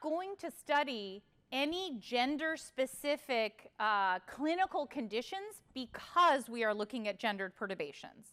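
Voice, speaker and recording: A woman projects a raised voice with a bright, sharp tone at a high pitch. She talks at a fairly slow pace with hardly any pauses and very wide pitch swings. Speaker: professor. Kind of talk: lecture.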